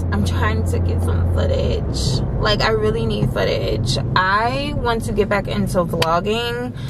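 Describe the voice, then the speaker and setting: A woman speaks at a very slow pace. Loud background noise runs beneath her voice. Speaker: vlogger. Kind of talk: casual vlog chat. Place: car. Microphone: phone near.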